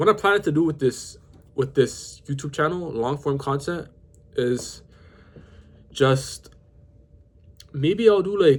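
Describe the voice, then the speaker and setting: A man with a Toronto accent speaks very slowly in a fairly high voice with ordinary pitch variation, leaving long, frequent pauses. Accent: Canadian (Toronto) English. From Toronto, Canada. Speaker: vlogger. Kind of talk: casual talk to camera. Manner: halting, self-correcting.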